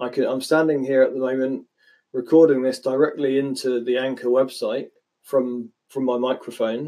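A dark, mellow voice holds a moderate pace. Its intonation stays monotone and flat. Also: man, medium pitch for a man. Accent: West Country. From West Country, England (Dorset). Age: 30s. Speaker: podcaster. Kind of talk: solo podcast monologue. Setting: home recording, standing at microphone. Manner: halting, with repeated words.

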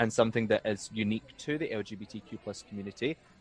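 A man with a west of Scotland accent, medium pitch and moderate pace, in a dry, close sound with no echo. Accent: Scottish (west of Scotland). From Scotland, East Ayrshire. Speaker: drag performer and law graduate. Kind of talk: casual chat.

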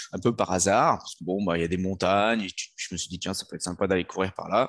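Over a quiet background, a man with an unremarkable speaking voice talks in a fairly low pitch with fairly even intonation. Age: 30s. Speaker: fitness coach and former soldier. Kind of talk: podcast interview.

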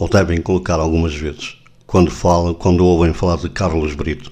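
This man's voice is very deep and low, and his intonation stays fairly even. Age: 60s. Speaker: radio host. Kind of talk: radio interview.

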